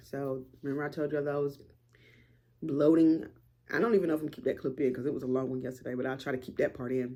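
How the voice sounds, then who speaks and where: With an American accent, a woman speaks in a very deep, low register. Her tone is dark and mellow, with ordinary pitch variation. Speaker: vlogger. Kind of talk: casual vlog talk to camera. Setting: at home, front room.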